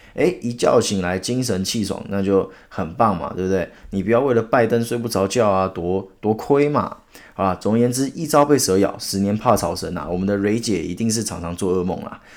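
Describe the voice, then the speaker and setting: A man talks at a moderate pace. His pitch is fairly low, with ordinary pitch variation. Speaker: podcast host. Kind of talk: solo news commentary. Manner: animated.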